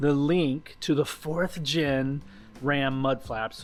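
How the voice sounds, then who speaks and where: A man talks in a fairly high pitch. Behind him, music can be heard. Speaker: car detailing YouTuber. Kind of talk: DIY tutorial and product review. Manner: casual with fillers.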